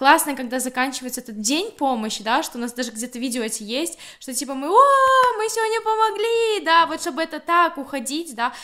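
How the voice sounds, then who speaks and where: Speaking at a very fast pace, a woman uses a raised, projected voice with a high pitch. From Belarus, Grodno. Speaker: humanitarian aid volunteer. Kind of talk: casual interview.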